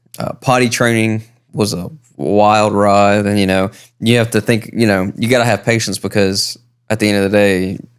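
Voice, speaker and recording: This man has an American accent and a fairly low pitch. He keeps a fairly even intonation at a moderate pace. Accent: thick country. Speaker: podcast co-host. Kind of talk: casual chat. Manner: halting, many fillers and repeats.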